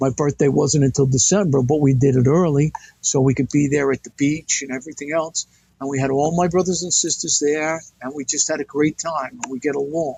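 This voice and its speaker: A man talks fairly quickly in a fairly high pitch, his voice somewhat breathy and his intonation fairly even. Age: 70s. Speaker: retired fire captain. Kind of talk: interview.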